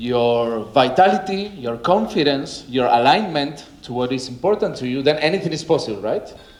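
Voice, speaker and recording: A man's fairly high voice with a Spanish accent, lively intonation and a moderate pace, plus audible room echo and noticeable background noise. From Argentina. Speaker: wellness coach. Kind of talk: conference talk. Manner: casual, energetic.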